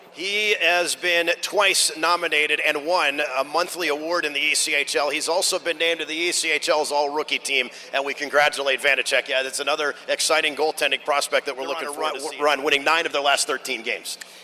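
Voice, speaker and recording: A man with a fairly high pitch, very fast and with hardly any pauses, over noticeable background noise. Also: fairly even intonation. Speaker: play-by-play announcer. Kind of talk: sports broadcast play-by-play and pregame show.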